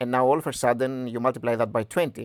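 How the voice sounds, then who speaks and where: In a Greek accent, a man speaks at a very fast pace, the sound dry and close with no echo on a very clean recording with a silent background. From Greece. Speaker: stock analysis youtuber. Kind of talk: tutorial. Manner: halting.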